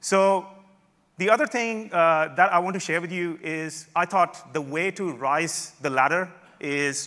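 A man's high-pitched, bright, sharp tone with ordinary pitch variation, on a very clean recording with a silent background. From Australia, Melbourne. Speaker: tech conference speaker, software developer. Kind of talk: conference talk with live demo. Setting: stage with audience.

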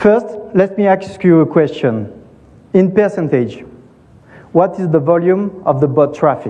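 Pausing long and often, a high-pitched man with a French accent speaks in a dark, mellow tone with ordinary pitch variation. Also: fairly slow pace. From France. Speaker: tech company co-founder and CTO. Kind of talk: conference talk.

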